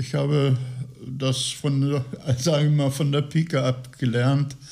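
Somewhat breathy, a man speaks at a fairly high pitch with a dark, mellow tone and flat, monotone intonation. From Lower Saxony, Gifhorn. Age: 80s+. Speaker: retiree. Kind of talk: interview.

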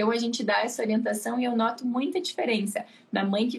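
Her voice sits high with ordinary pitch variation. The woman talks at a fairly quick pace. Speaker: pediatrician. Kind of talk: casual chat. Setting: live stream.

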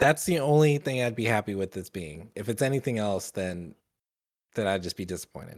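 A man with a fairly low pitch, an ordinary speaking voice, lively intonation and a fairly quick pace, in a dry, close sound with no echo and a very clean recording over a silent background. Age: 30s. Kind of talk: casual chat. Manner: joking.

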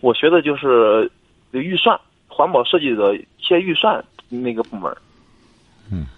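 A man at a fairly slow pace, very wide pitch swings, long, frequent pauses. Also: fairly high pitch for a man. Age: 20s. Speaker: caller seeking career advice. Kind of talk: phone-in advice call. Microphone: noisy line, told to speak into the mic.

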